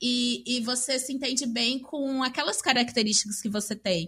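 A woman talks at a moderate pace in a high, bright, sharp voice with ordinary pitch variation. The recording is very clean, with a silent background. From Maringá, Paraná, Brazil. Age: 20s. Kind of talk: casual chat.

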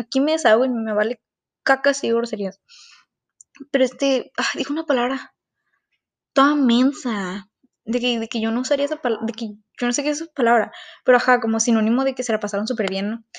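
The speaker moves at a fairly quick pace with fairly even intonation, broken by long, frequent pauses. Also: woman, high pitch for a woman. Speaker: student podcaster. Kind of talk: personal monologue podcast.

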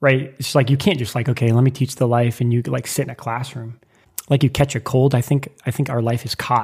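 A man with an American accent talks at a fairly quick pace in a medium-pitched, somewhat breathy voice with monotone, flat intonation. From US Midwest (Lincoln, Nebraska). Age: 30s. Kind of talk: casual chat.

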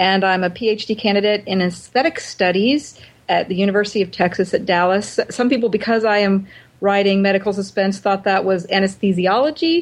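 With an American accent, a woman speaks at a medium pitch in an ordinary speaking voice, her loudness very even and her pitch varying in an ordinary way. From US Pacific Northwest, Oregon. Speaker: writer and seminary professor. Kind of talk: interview.

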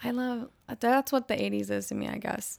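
On a very clean recording with a silent background, a woman's speech moves at a moderate pace. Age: 20s. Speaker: musician and teacher. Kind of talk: casual chat.

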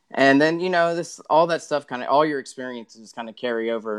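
A man with a Texan accent at a fairly quick pace, ordinary pitch variation, quiet background. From Texas. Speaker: tournament kayak angler. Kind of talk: podcast interview.

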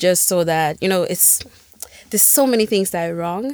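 A woman's fairly low-pitched voice on a very clean recording with a silent background. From Sweden, Gambian roots. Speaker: music events organizer and designer. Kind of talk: casual interview.

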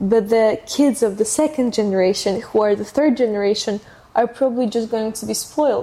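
With a Russian accent, a woman speaks at a fairly slow pace in a fairly high pitch. Her tone is dark and mellow, and her intonation stays fairly even. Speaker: podcast host. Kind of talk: casual interview.

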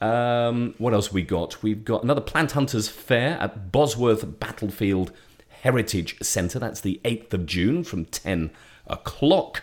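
Lively intonation marks a man's unremarkable speaking voice, pitched medium and moving at a fairly slow pace. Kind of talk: radio DJ patter, friendly community-radio chat with a co-host, taking listener questions. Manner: warm, chatty and genial, jokey, often interrupting and overlapping with co-host, relaxed.

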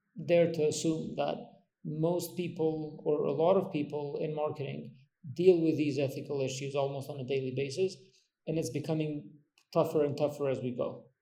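A man with a fairly high pitch and fairly even intonation talks at a moderate pace with audible room echo. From Kosovo. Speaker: podcast host. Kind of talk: interview.

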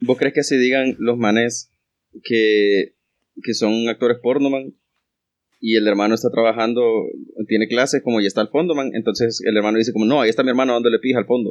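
Keeping a very even loudness, a man talks at a fairly quick pace and medium pitch but with long, frequent pauses. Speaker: podcast co-host. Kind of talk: casual chat. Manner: animated.

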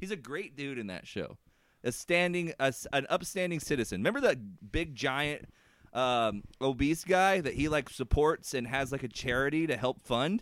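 Using lively intonation, a man with a fairly high pitch talks at a moderate pace. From Indiana, US Midwest. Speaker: wrestling podcast host. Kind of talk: casual banter, rant about wrestling. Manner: animated, ranting, profane.

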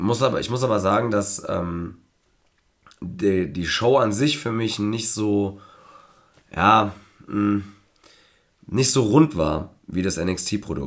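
Here a man with a fairly low pitch speaks at a very slow pace. Long, frequent pauses break up his speech. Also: ordinary pitch variation. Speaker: wrestling podcast co-host. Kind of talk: casual chat.

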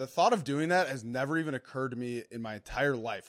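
A man speaks in a plain, everyday voice at a fairly high pitch with ordinary pitch variation. The recording is very clean, with a silent background. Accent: American. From Minnesota. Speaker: former NFL player, podcast co-host. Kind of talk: casual chat.

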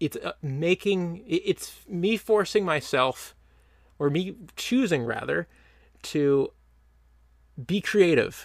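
On a very clean recording with a silent background and a dry, close sound with no echo, a man speaks very slowly with lively intonation. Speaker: podcast host. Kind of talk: casual monologue. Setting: sitting on the ground with a mic and laptop. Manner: halting, many ums and ahs.

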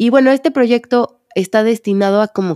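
A woman speaks at a moderate pace with a Mexican accent and a dark, mellow tone. The sound is dry and close, with no echo. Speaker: psychologist and podcast host. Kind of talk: solo podcast monologue.

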